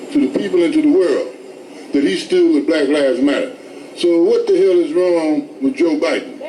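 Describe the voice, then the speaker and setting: At a moderate pace and very even loudness, a man talks amid noticeable background noise and audible room echo. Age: 70s. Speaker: protester, activist. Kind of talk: street protest speech. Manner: animated.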